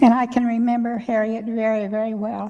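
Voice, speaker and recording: Fairly high in pitch, a woman with a Midwestern American accent speaks at a moderate pace in a dark, mellow tone with a monotone, flat intonation. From US Midwest, Missouri. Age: 90s. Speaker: church elder speaker. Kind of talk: personal reminiscence talk. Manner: conversational, rambling with restarts.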